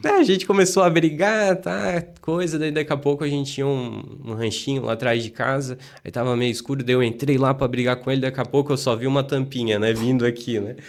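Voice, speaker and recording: With a normal speaking voice, a man speaks at a fairly quick pace and medium pitch, with ordinary pitch variation. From Blumenau, Santa Catarina, southern Brazil. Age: 30s. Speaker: city councillor. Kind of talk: casual interview chat.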